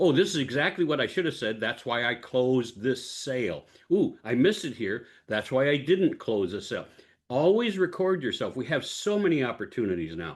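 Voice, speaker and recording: A man at a fairly quick pace, with very wide pitch swings, over a quiet background. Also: medium pitch for a man. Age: 70s. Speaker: public speaker and speaking coach. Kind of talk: interview answer.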